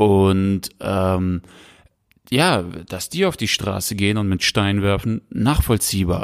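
Very slow delivery with ordinary pitch variation, a dry, close sound with no echo, and a very clean recording over a silent background. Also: man, fairly low pitch for a man. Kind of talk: casual chat. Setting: home recording, sitting close together. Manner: animated. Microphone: very close to the mic.

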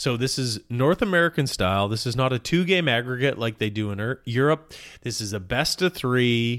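A man with an unremarkable speaking voice talks in a Canadian accent at medium pitch and a moderate pace on a very clean recording with a silent background. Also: lively intonation. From Canada. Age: 40s. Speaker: sports podcast co-host. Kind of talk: casual chat.

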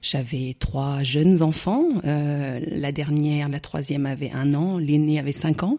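A woman speaks at a very slow pace with hardly any pauses, her pitch very deep and low. Her tone is dark and mellow on a very clean recording with a silent background. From France, Burgundy (Morvan). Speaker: champagne entrepreneur. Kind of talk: interview. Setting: countryside, in person.

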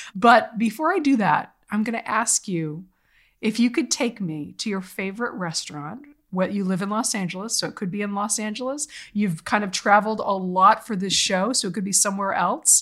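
In a very clean recording with a silent background, a woman with an American accent speaks at medium pitch and a moderate pace in an unremarkable speaking voice. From Boston area. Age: 40s. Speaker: podcast host and journalist. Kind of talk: casual interview chat.

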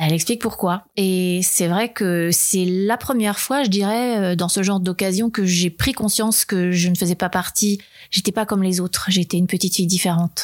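A woman talks at a moderate pace and medium pitch, with hardly any pauses. Her loudness is very even, her intonation fairly even, and the recording very clean with a silent background. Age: 50s. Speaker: former cult member. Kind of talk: testimony. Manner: hesitant with fillers.

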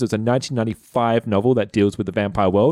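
Here a man has a plain, everyday voice with ordinary pitch variation. He speaks at a moderate pace on a very clean recording with a silent background. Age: 20s. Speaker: tabletop RPG player. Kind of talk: casual chat.

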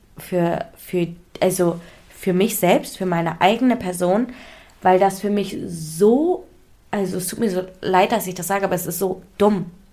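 At a fairly slow pace, a woman talks in a normal speaking voice at a medium pitch with fairly even intonation. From India. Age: 20s. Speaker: influencer and model. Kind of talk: casual chat.

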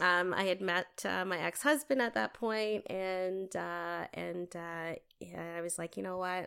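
A woman talks at a fairly slow pace. The recording is very clean and the background silent. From Canada, Toronto. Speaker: arts leader and community advocate. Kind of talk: casual interview.

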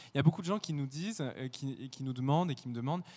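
Dark, mellow tone from a man, with pitch varying in an ordinary way. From France, rural Burgundy. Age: 20s. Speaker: ballet dancer. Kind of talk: interview testimony.

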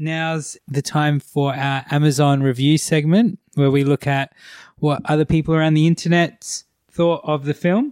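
Fairly high-pitched and with fairly even intonation, a man speaks in an Australian accent at a moderate pace, on a very clean recording with a silent background and a dry, close sound with no echo. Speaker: podcast host. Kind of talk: casual chat.

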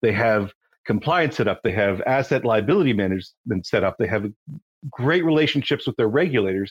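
A man with a Canadian accent speaks in a plain, everyday voice at medium pitch and a fairly quick pace, with lively intonation. His loudness stays very even, and the sound is dry and close with no echo. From Canada. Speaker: compliance founder, forensic accountant. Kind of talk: casual interview chat. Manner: conversational, with fillers.

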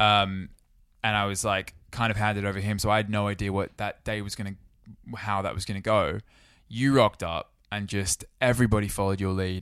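With an Australian accent, a man speaks at a very fast pace in a fairly low, monotone, flat voice. The recording is very clean with a silent background. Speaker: podcast co-host. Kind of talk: casual chat.

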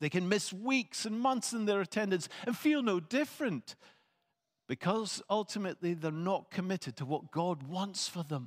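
A man speaks at a moderate pace in a high voice with lively intonation. The sound is dry and close with no echo, and the recording is very clean against a silent background. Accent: Scottish. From Scotland. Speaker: preacher. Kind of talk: sermon. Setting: church.

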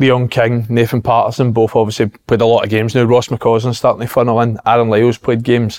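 With a Glaswegian accent, a man speaks at a medium pitch and a fairly quick pace in a monotone, flat intonation, the sound dry and close with no echo. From Glasgow, Scotland. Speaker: former footballer, football pundit. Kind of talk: casual chat.

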